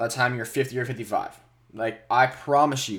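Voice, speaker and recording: Medium pitch, a moderate pace and an unremarkable speaking voice from a man. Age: 20s. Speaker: podcast host talking about investing. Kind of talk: solo monologue about investing. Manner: casual, with many fillers and restarts.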